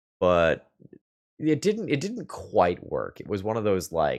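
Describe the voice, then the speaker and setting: Fairly low in pitch, a man mumbles at a fairly slow pace. The background is quiet. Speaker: Magic: the Gathering streamer. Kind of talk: gameplay commentary. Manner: mumbling a little.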